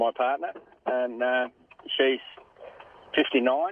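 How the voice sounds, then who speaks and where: Speaking with an Australian accent, a man holds a medium pitch. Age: 60s. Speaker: caller. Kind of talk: casual chat.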